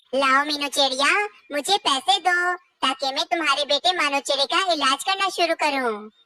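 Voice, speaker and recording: This cartoonish character voice sits at a high pitch and moves at a moderate pace. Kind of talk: children's cartoon dialogue.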